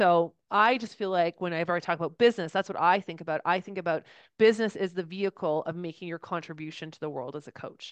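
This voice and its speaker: Against a quiet background, a woman with a fairly low pitch talks at a very fast pace with hardly any pauses, ordinary pitch variation and big swings in loudness. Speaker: podcast co-host and business owner. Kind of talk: casual chat.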